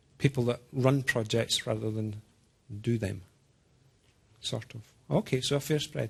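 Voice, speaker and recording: At a fairly slow pace with long, frequent pauses, a man speaks at a medium pitch with ordinary pitch variation and a somewhat breathy voice. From Scotland. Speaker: software engineer presenting developer tools. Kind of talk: technical presentation. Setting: talk with small live audience. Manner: slow, deliberate.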